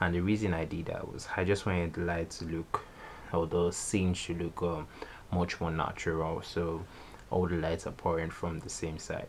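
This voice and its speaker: Over noticeable background noise, a man speaks at a moderate pace with a very deep, low pitch and monotone, flat intonation. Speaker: photographer and YouTuber. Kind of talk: tutorial. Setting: recording late at night.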